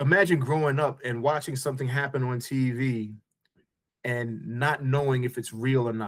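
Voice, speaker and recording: A man in a normal speaking voice with an American accent, medium in pitch, at a moderate pace with fairly even intonation. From New York. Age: 50s. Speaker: entrepreneur. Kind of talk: podcast interview.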